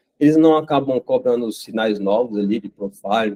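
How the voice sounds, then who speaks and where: A man speaks at a medium pitch. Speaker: site reliability engineer giving a talk. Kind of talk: technical talk. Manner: fast; halting, many fillers.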